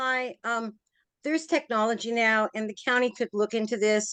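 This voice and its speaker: An ordinary speaking voice at a moderate pace, with a quiet background and a dry, close sound with no echo. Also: woman. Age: 60s. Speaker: resident speaking at public meeting. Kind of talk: public comment at town hall meeting.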